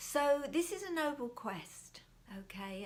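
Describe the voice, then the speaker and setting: A woman speaks with very wide pitch swings. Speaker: mindfulness teacher. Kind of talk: talk to camera on mindfulness. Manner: soft, whispering; calm.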